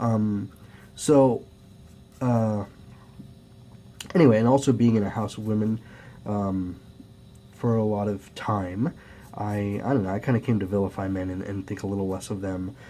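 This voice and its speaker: A dark, mellow tone at a moderate pace, with fairly even intonation and long, frequent pauses. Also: man, fairly low pitch for a man. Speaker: youtuber, amateur artist. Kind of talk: casual vlog monologue. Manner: halting, many fillers.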